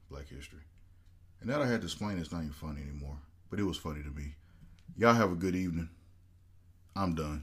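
A man with a very deep, low pitch talks very fast in an animated, somewhat breathy tone, with ordinary pitch variation. His loudness swings greatly, and his pauses are long and frequent. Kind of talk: casual chat.

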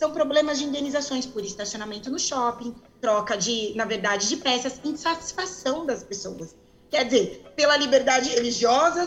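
A woman with a high pitch and lively intonation talks at a moderate speed while noticeable noise sits in the background. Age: 40s. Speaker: lawyer and lay preacher. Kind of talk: interview on a religion podcast. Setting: remote call from home.

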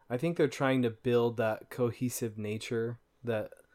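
In a very clean recording with a silent background, a man talks in a plain, everyday voice at medium pitch and a fairly slow pace. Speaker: podcast host. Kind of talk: casual chat about a video game.

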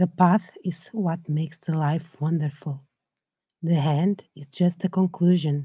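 A woman speaks at a fairly slow pace in a fairly low, somewhat breathy voice with a calm, soothing, dark, mellow tone and fairly even intonation, yet big swings in loudness. The recording is very clean with a silent background. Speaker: podcast host and meditation guide. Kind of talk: guided meditation. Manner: calm, slow, soothing, gentle; soft-spoken, with long pauses.

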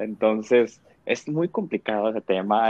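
A man with a medium-pitched voice talks fairly slowly, varying his pitch in an ordinary way. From Mexico. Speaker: podcast panelist. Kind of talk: casual chat.

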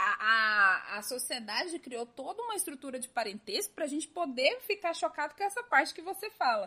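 In a raised, projected voice, a woman talks at a fairly quick pace with hardly any pauses, her high, bright, sharp tone making very wide pitch swings and big swings in loudness. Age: 20s. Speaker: podcast host. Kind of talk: casual chat.

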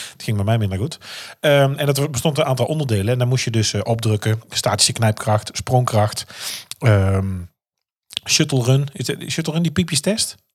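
A man's somewhat breathy voice of medium pitch, with lively intonation at a moderate pace. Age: 40s. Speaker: podcast host. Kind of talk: casual chat.

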